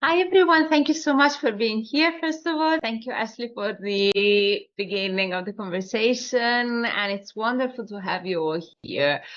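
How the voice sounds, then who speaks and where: A woman in an Italian accent speaks at a moderate pace with hardly any pauses. Her fairly high voice makes very wide pitch swings. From Italy, Tuscany. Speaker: SEO agency director. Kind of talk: webinar presentation. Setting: online webinar.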